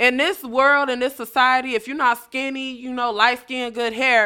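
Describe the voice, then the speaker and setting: A woman with an American accent speaks at a moderate pace in a high, bright, sharp voice, animated, with ordinary pitch variation, big swings in loudness and hardly any pauses, on a very clean recording with a silent background. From North Chicago, Illinois. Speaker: comedian. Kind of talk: casual chat.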